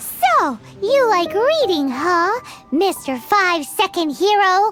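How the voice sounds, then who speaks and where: A put-on character voice, squeaky and extremely high-pitched, speaks at a fairly slow pace over faint music in the background. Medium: video game. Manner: teasing, lively.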